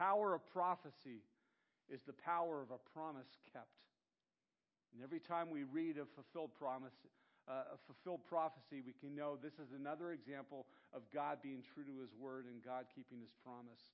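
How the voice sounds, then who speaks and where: Here a man with an ordinary speaking voice talks at a moderate pace in a fairly high pitch. His pitch variation is ordinary, while his loudness swings widely. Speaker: pastor. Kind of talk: sermon.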